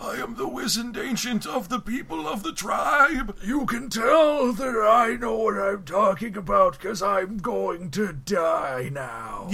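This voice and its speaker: Putting on a character voice, a man projects loudly at a high pitch and a fairly slow pace, with light background noise. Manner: wizened, self-important.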